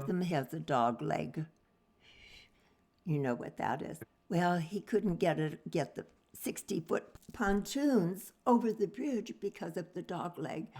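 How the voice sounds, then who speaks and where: A woman talks fairly slowly in a fairly low pitch, her tone dark and mellow with vocal fry. Her pitch swings very widely, and she leaves long, frequent pauses. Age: 80s+. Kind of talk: interview answer.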